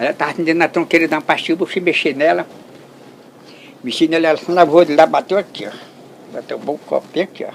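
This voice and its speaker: Very fast male speech broken by long, frequent pauses. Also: fairly high pitch for a man. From Brazil, Ceará (Limoeiro do Norte), then Amazon rubber estate. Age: 80s+. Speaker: elderly rubber tapper. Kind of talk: storytelling interview. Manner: animated.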